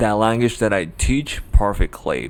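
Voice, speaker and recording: Noticeable background noise sits behind a man talking at a fairly low pitch with a Japanese accent. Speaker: language tutor. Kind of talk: tutorial. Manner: hesitant, many fillers.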